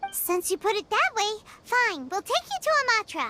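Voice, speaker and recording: This is a put-on character voice, squeaky throughout. Its pitch is extremely high. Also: moderate pace. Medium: video game. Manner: chatty, cheeky.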